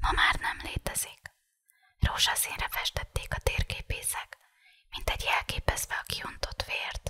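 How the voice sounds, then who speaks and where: Whispering in a calm tone, the speaker goes at a fairly slow pace. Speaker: ASMR reader. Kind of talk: audiobook reading of a novel for sleep. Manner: whispered; calm, relaxing.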